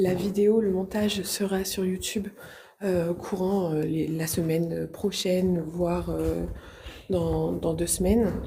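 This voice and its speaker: Soft-spoken and monotone, the voice moves at a very slow pace amid audible room echo and noticeable background noise. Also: woman, fairly low pitch for a woman. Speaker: medium and paranormal explorer. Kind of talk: live vlog exploration, addressing viewers. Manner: speaks softly out of fear; hesitant, many fillers and repetitions.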